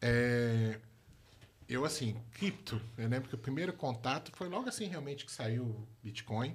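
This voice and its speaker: A man talks at a fairly slow pace in a somewhat breathy voice. His pitch is medium, with ordinary pitch variation. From Brazil, moved through all regions, born in Rio. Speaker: crypto product manager. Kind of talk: casual chat.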